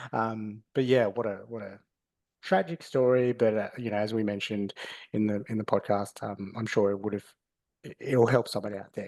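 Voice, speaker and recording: A man with an Australian accent, fairly low in pitch, at a fairly quick pace with fairly even intonation and big swings in loudness, against a quiet background. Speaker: podcast host. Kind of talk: casual chat. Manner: halting.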